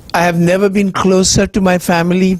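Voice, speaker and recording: Noticeable background noise sits behind this man's voice. He talks at a moderate pace with a high pitch. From India. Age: 70s. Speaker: cancer survivor speaker. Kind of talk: personal testimony talk.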